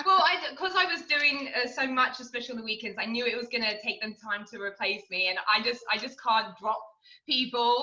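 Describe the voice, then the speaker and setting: A woman with a British accent speaks at a high pitch, fairly quickly and with lively intonation. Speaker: restaurant server. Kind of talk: interview. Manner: halting.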